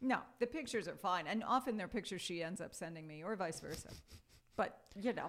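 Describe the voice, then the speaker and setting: Her ordinary speaking voice sits at medium pitch, as this woman talks at a fairly quick pace with lively intonation. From New York, Brooklyn and Long Island. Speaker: English professor. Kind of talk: casual interview.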